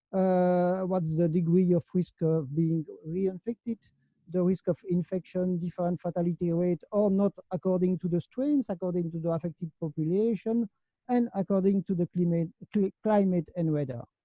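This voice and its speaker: Music plays in the background as the speaker talks at a moderate pace. Loudness stays very even, and the pitch varies an ordinary amount. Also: man, high pitch for a man. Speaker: conference speaker on longevity. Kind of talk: conference talk. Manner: halting, many hesitations.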